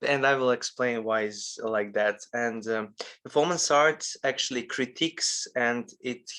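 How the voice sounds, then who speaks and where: In a very clean recording with a silent background, a man with a non-native accent speaks at a fairly slow pace and medium pitch, with a bright, sharp tone and fairly even intonation. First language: not English. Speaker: lecturer on performance art. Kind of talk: lecture. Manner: halting, many fillers.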